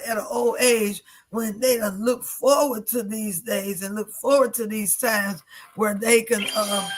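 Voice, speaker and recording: A woman with a normal speaking voice talks at a fairly high pitch with fairly even intonation. Her pace is fairly slow. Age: 60s. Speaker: radio talk show host and evangelist. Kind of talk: talk show discussion.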